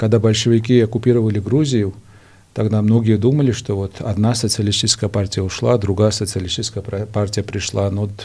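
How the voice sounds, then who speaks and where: A man's fairly low voice at a fairly quick pace, fairly even in intonation, over faint music in the background. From Georgia. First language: Georgian (speaking Russian). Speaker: political analyst; interview guest. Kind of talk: TV interview; interview answer. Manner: halting, many fillers. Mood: serious political discussion. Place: studio. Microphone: studio mic.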